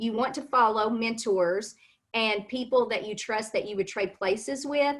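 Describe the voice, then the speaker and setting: Moderate pace in a Kentucky accent, with ordinary pitch variation. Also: woman, fairly high pitch for a woman. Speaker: cosmetics sales consultant. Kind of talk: interview on a live stream.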